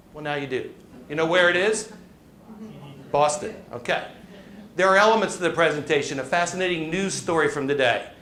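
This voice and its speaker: Amid noticeable background noise and audible room echo, a man with a high pitch speaks at a fairly quick pace, with ordinary pitch variation and long, frequent pauses. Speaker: presentation coach and business speaker. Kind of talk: live talk to an audience. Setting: stage with audience. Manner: fast; animated.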